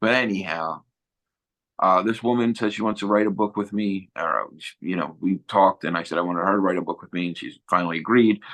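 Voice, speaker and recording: At a fairly quick pace, a man with a Philadelphia accent speaks in a fairly low pitch against a quiet background. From Philadelphia, South Philly. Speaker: former neo-Nazi, author. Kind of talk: interview storytelling. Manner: animated; casual.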